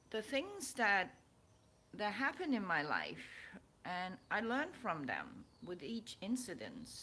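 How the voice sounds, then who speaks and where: Fairly slowly, a woman with a fairly high, bright, sharp voice and vocal fry makes very wide pitch swings. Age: 60s. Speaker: spiritual vlogger and author. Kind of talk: casual personal vlog. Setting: at home. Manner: halting, with many repeats.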